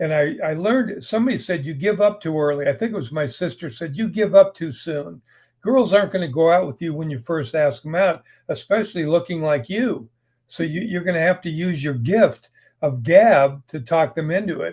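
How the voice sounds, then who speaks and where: Speaking with an American accent, a high-pitched man talks at a moderate pace with lively intonation against a quiet background. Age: 70s. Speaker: writer. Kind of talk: interview. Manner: conversational, hesitant repetitions.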